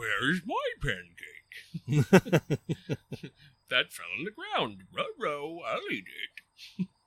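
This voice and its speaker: Speaking at a very slow pace with long, frequent pauses, a man uses a put-on character voice. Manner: silly, playful.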